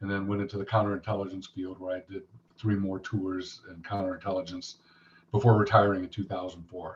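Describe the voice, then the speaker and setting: A man's somewhat breathy voice comes at a very fast pace. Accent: American. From Los Angeles, US West Coast. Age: 60s. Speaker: Marine veteran and retired firefighter. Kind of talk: interview testimony.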